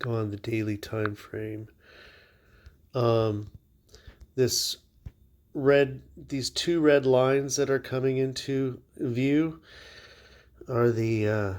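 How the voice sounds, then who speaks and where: Long, frequent pauses mark a man's speech at a very slow pace. His pitch is medium and his intonation fairly even. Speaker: crypto market analyst. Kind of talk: tutorial. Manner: monotone.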